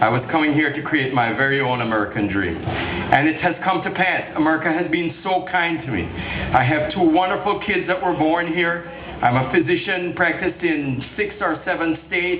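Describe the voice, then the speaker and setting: Pitched high for a man, a speaker with a Jamaican accent goes at a moderate pace with hardly any pauses, amid noticeable background noise and audible room echo. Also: ordinary pitch variation. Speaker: political candidate. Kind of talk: campaign speech. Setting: political rally. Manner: animated.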